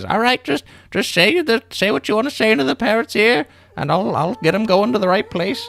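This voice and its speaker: This is a put-on character voice with fairly high pitch. It moves at a fairly quick pace. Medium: actual play.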